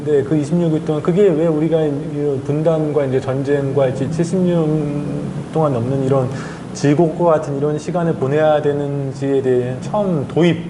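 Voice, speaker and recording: In a room with audible echo and noticeable background noise, a man talks at a moderate pace in a fairly high voice with fairly even intonation. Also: very even loudness. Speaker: journalist and author. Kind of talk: interview.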